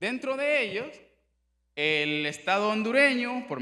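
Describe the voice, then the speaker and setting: A man's raised, projected voice has a bright, sharp tone. His pitch swings very widely, and the room echo is audible. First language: Miskito (speaking Spanish). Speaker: human rights official. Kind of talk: conference presentation. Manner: formal.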